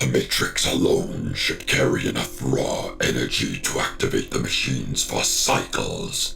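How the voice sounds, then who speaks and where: A put-on character voice moves at a moderate pace against clear background noise. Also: man. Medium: audio drama. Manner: grandiose, cold.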